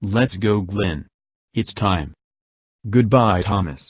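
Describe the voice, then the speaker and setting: In a put-on character voice, a man growls at a very slow pace with a fairly low pitch. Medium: read story.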